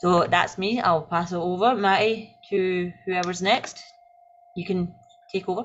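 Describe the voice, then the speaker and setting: A woman with a Scottish accent speaks at a fairly slow pace and medium pitch, her intonation fairly even. Noticeable background noise runs behind her. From Scotland. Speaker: secondary school teacher. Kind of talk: online panel introduction. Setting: video call live stream.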